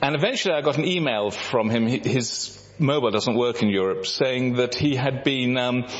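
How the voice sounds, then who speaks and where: Amid noticeable background noise, a man of medium pitch talks at a moderate pace with ordinary pitch variation. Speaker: visiting mission speaker. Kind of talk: talk with slides.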